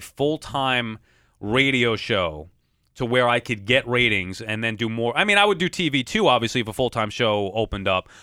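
At a moderate pace, a man talks at a medium pitch in an unremarkable speaking voice. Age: 30s. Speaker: sports broadcaster. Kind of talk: casual chat.

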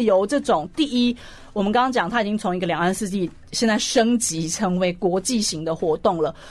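A woman is speaking. Her pace is fairly quick. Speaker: sports journalist and columnist. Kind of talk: radio interview. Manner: loud.

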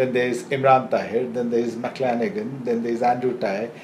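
A man speaks over noticeable background noise. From India. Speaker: cricket journalist. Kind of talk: casual chat.

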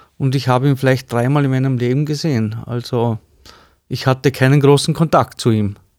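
This man talks at a fairly quick pace with a medium pitch and fairly even intonation. The recording is very clean, with a silent background. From Austria, Vorarlberg (Bludenz district). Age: 50s. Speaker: cabinetmaker. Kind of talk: interview. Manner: hesitant, many fillers.

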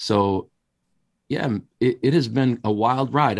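A man with an American accent and a normal speaking voice, fairly slow, with ordinary pitch variation. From Wisconsin, US Upper Midwest. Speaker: pastor and ministry school leader. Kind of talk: interview conversation.

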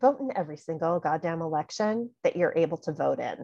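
A woman with an American accent speaks at a moderate pace, her pitch swinging very widely, in a dry, close recording with no echo and a quiet background. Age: 40s. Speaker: podcast host. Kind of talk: solo podcast commentary.

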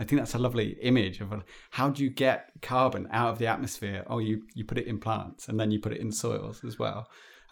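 With a British accent and vocal fry, a man talks at a medium pitch with fairly even intonation and hardly any pauses. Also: fairly quick pace. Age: 40. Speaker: podcast host. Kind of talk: interview. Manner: halting, many fillers.

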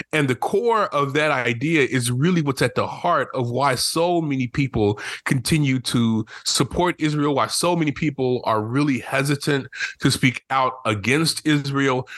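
A man with a normal speaking voice and a fairly high pitch talks at a moderate pace with ordinary pitch variation and very even loudness, the sound dry and close with no echo over a quiet background. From rural Oklahoma. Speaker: professor and minister. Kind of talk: radio interview.

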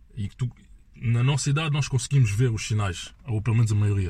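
Somewhat breathy and dark, mellow in tone, a man's voice moves at a moderate pace. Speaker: podcast guest. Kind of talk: casual chat.

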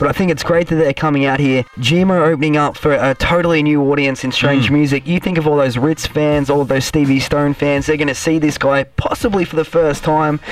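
Over noticeable background noise, the speaker talks at a fairly quick pace with fairly even intonation and very even loudness. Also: man, fairly high pitch for a man. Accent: Australian. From Australia. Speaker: podcast host. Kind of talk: casual chat. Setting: studio.

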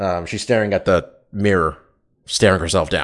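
A man speaks against a quiet background. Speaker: MMA podcast host. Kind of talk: casual chat. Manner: fast talker.

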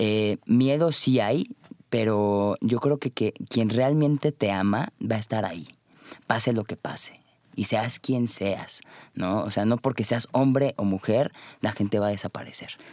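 At a fairly slow pace, a man speaks in a dark, mellow tone with a dry, close sound and no echo. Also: medium pitch for a man, ordinary pitch variation, very clean recording, silent background. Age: 20s. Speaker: life coach. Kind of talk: interview.

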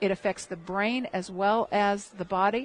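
A woman with an American accent speaks at medium pitch and a moderate pace, with a quiet background. It is an ordinary speaking voice. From Michigan. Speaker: health educator. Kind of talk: interview.

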